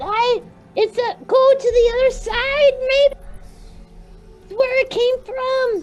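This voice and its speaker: A woman's put-on character voice at an extremely high pitch, fairly slow with long, frequent pauses, over music in the background. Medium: actual play. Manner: fragmented, halting speech.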